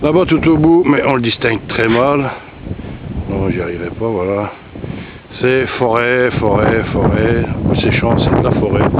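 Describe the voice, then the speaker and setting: Very slow, lively intonation from a man at a medium pitch, with long, frequent pauses, audible room echo and noticeable background noise. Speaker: vlogger, hiker. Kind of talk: walking vlog narration. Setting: outdoors, walking in countryside. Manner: casual, hesitant.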